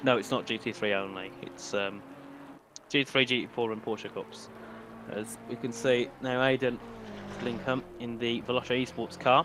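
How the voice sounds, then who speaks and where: Against noticeable background noise, a man with a medium pitch speaks with fairly even intonation and long, frequent pauses. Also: moderate pace. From UK. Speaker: sim racing commentator. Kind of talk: live commentary. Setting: live stream. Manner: casual, chatty.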